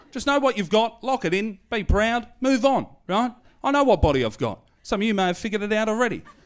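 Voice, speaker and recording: With an Australian accent and an animated tone, a man speaks fairly quickly at a high pitch with ordinary pitch variation. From Australia, Hoppers Crossing, western Melbourne. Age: 30s. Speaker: stand-up comedian. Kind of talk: stand-up. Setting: stage with audience.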